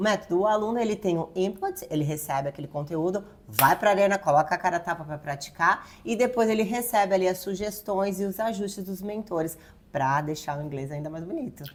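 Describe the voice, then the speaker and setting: A woman with an ordinary speaking voice talks at a fairly quick pace in a medium pitch, with ordinary pitch variation. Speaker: English teacher, YouTube host. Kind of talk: casual educational chat.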